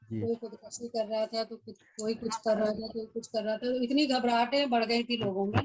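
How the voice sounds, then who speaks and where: A woman speaks with a fairly high pitch in a monotone, flat intonation. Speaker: poet. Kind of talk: casual talk at poetry gathering. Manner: expressive.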